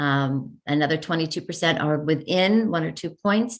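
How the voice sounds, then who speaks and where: A woman speaks with a fairly low pitch. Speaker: school administrator presenting data. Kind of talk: presentation at a school board meeting. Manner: halting, many fillers.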